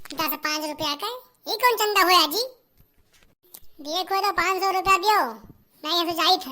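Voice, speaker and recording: Squeaky and extremely high-pitched, a woman's cartoonish character voice moves at a moderate pace with ordinary pitch variation and long, frequent pauses. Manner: brash, loud.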